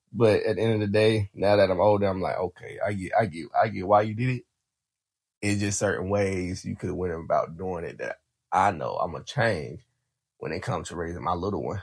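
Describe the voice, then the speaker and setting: This man talks at a fairly quick pace. His pitch is fairly low, with ordinary variation. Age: 20s. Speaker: podcast host and firefighter. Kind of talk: casual monologue.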